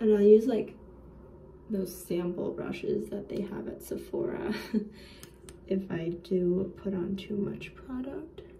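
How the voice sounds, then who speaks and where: At a fairly slow pace, a woman speaks with ordinary pitch variation over light background noise. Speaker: vlogger. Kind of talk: casual vlog chat, makeup tutorial. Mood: playful, self-mocking. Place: bathroom. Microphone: phone near.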